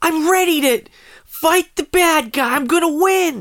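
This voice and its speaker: This is a cartoonish character voice pitched extremely high. It moves at a fairly slow pace. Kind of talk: exaggerated anime. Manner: energetic, heroic, shouting.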